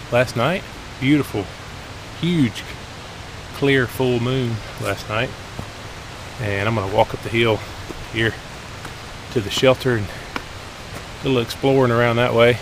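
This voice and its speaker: A man talks at a fairly slow pace with long, frequent pauses, his dry sound carrying no echo over noticeable background noise. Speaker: hiker vlogger. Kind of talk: casual vlog chat. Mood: annoyed at litter. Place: forest. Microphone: phone near.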